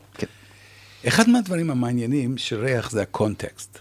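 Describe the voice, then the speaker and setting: A man with an English accent, medium pitch and lively intonation, at a fairly slow pace. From Canada. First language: English (speaking Hebrew). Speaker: retired professor and researcher. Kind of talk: interview.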